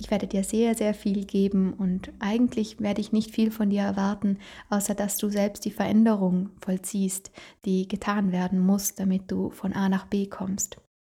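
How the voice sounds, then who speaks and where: Against a silent background in a very clean recording, a woman speaks at medium pitch in a dark, mellow, somewhat breathy tone with monotone, flat intonation. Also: moderate pace. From Italy, South Tyrol. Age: 20s. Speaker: podcast host, beautician. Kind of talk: solo podcast monologue.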